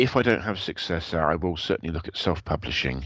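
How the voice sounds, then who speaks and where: With vocal fry and a very deep, low pitch, a man talks at a fairly quick pace. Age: 50s. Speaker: aspiring novelist. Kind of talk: casual chat.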